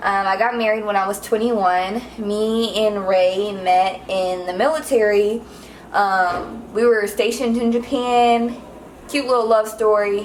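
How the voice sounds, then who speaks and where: Noticeable background noise and audible room echo accompany a woman speaking at a fairly high pitch with fairly even intonation. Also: fairly slow pace. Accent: American. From Los Angeles, California. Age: 20s. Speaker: vlogger, military veteran and mother. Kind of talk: casual cooking vlog chat.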